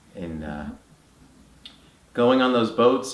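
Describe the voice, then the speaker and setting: Here a man talks with ordinary pitch variation. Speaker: interviewer. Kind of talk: interview question.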